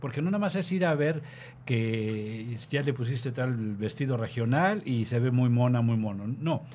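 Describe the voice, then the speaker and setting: With an unremarkable speaking voice, a man talks at a fairly slow pace in a medium pitch, his intonation lively and his loudness very even. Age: 50s. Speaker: radio host. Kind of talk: casual chat.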